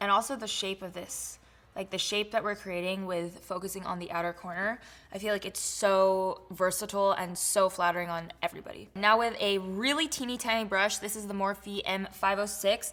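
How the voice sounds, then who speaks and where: In a very clean recording with a silent background, a woman speaks at medium pitch with fairly even intonation. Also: moderate pace. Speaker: beauty vlogger. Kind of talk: makeup tutorial. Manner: casual, filler-heavy; stumbling speech.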